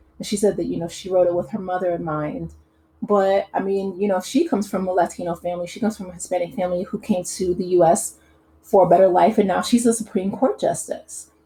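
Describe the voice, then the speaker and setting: A woman with an American accent speaks at medium pitch, very fast, with fairly even intonation. Her tone is dark, mellow and somewhat breathy, with big swings in loudness. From US Midwest. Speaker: YouTube commentator. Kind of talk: casual commentary monologue. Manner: hesitant, many fillers.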